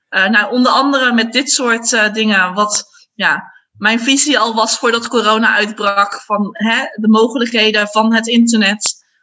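A woman with a plain, everyday voice talks at a fairly high pitch and a fairly slow pace, her loudness very even. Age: 30s. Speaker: primary school teacher. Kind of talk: casual interview.

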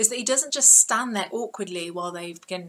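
Simple, plain reading aloud

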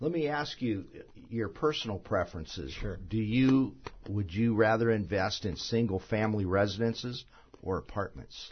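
Speaking at a moderate pace, a man with a fairly low, somewhat breathy voice uses lively intonation. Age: 60s. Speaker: real estate radio show host. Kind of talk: radio talk show interview. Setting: radio studio.

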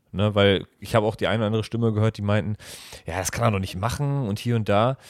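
The recording is very clean, with a silent background. A man speaks in a fairly low pitch with fairly even intonation. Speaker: podcast co-host. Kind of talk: casual chat. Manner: halting. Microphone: new microphone.

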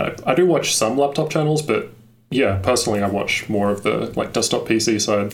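The loudness stays very even. There is audible room echo. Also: man, fairly quick pace. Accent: Australian. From Australia. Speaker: tech YouTuber. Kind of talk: casual chat.

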